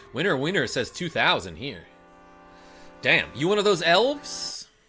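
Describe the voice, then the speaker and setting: A man keeps a moderate pace while music plays in the background. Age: 30s. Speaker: gaming streamer. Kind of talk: live stream chat. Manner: animated.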